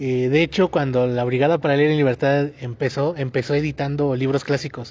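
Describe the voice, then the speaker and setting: At a fairly quick pace, a man speaks in a flat monotone with fairly high pitch and very even loudness. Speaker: podcast co-host. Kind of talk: casual chat.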